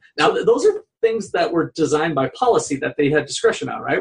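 In an American accent, a man talks at a moderate pace in a plain, everyday voice with ordinary pitch variation. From Minnesota. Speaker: economics professor, podcast co-host. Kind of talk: casual discussion.

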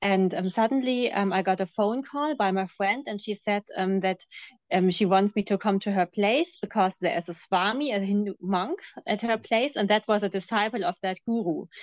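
A woman speaks with a German accent at a medium pitch, with ordinary pitch variation and a moderate pace. The sound is dry and close with no echo, against a quiet background. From Germany. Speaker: former cult member. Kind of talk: interview testimony. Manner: hesitant, many fillers.

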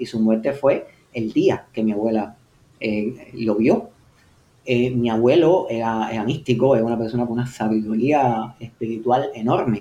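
A man speaks at a fairly slow pace, with a medium pitch, a dark, mellow tone and fairly even intonation. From Havana, Cuba. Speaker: science fiction writer. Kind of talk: interview. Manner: halting, with many repetitions.

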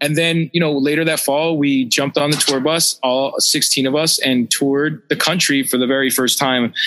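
A man with an American accent and a fairly high pitch talks at a moderate pace in a monotone, flat intonation, keeping his loudness very even. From Pennsylvania (Philadelphia and Pittsburgh). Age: 40s. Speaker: radio DJ and tour DJ. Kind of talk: casual chat.

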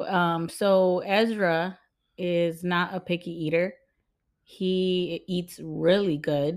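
The recording is very clean, the background silent. A woman speaks very slowly in a monotone, flat delivery. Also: fairly low pitch for a woman. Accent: American. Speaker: podcast host. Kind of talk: casual chat.

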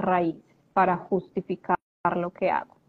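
This is a woman speaking. Her pitch is medium. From Colombia, Medellín. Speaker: life coach and transgenerational therapist. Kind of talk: live-stream interview. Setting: live video stream.

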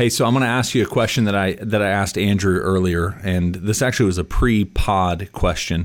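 With an unremarkable speaking voice, a man talks at a fairly quick pace, his fairly low pitch kept to fairly even intonation and very even loudness. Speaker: co-host, basketball podcaster. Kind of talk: casual sports chat.

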